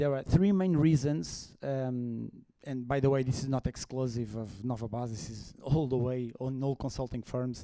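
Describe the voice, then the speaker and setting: A man's medium-pitched voice with a Portuguese accent, dark and mellow in tone, at a moderate pace with ordinary pitch variation. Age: 40s. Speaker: HR consultant. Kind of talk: conference talk. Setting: stage with audience. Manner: halting.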